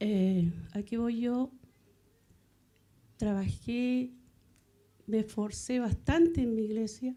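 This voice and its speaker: A woman's somewhat breathy, dark, mellow voice at a very slow pace, with ordinary pitch variation and long, frequent pauses. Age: 60s. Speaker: church member. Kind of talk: testimony. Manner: halting.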